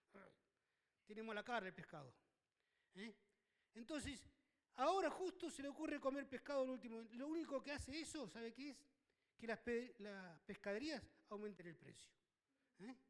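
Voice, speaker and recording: A man talks at an extremely high pitch with big swings in loudness. Long, frequent pauses break up his speech. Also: lively intonation, moderate pace. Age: 60s. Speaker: pastor. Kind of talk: sermon. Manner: halting, many fillers.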